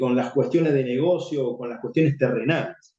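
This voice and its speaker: A man's dark, mellow voice, fairly high in pitch. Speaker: Bible teacher. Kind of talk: Bible study teaching.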